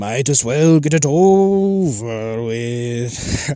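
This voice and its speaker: A man puts on a gruff character voice at a medium pitch, with lively intonation. He speaks at a very slow pace. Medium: read story. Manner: taunting, menacing.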